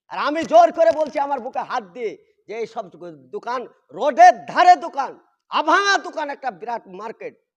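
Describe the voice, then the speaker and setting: An animated man talks at an extremely high pitch. His pitch swings very widely. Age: old. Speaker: Islamic preacher. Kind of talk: religious talk on a livestream. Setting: live stream.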